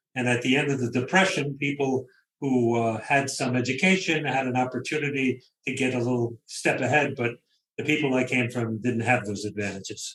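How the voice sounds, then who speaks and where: Here a man talks with a Brooklyn accent at a fairly quick pace. His intonation stays fairly even. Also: medium pitch for a man. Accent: New York (Brooklyn). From Brooklyn, New York. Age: 70s. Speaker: novelist. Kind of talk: interview. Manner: conversational.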